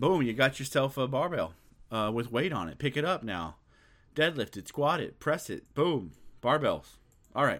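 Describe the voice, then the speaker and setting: With a fairly high pitch and vocal fry, this man sounds animated. His intonation is lively. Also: moderate pace, very clean recording, silent background. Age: 40s. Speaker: podcast host, weightlifter. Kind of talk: casual monologue. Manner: repetitive, halting.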